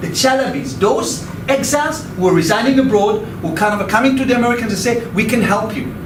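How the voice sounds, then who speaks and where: A man with an extremely high pitch and ordinary pitch variation talks at a fairly quick pace, with audible room echo and noticeable background noise. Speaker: professor. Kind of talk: lecture. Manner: fast; halting, repeated words.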